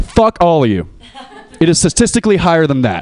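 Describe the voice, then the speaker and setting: A man's voice is heard. Very wide swings run through his pitch. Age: 20s. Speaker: comedian. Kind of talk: stand-up.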